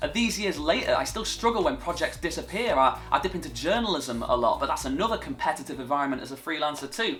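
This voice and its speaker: Very fast speech from a man with a northern English accent, hardly any pauses, and music in the background. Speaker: TV presenter. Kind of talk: vlog monologue.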